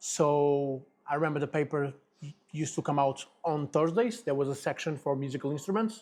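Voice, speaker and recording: This man talks at a fairly quick pace with a Portuguese accent. His pitch is fairly high, with ordinary variation. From Portugal, Lisbon. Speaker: guitar business owner and musician. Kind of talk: interview. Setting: studio.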